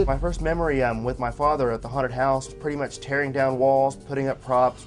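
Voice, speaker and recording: Music plays in the background as a man talks at a fairly quick pace with hardly any pauses. His medium-pitched voice keeps a monotone, flat intonation. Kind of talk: reality TV interview.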